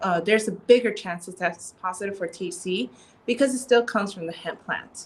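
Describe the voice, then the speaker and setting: A woman's unremarkable speaking voice at medium pitch and a fairly quick pace, with ordinary pitch variation and big swings in loudness. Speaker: CBD store co-owner and clinical psychologist. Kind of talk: casual interview chat.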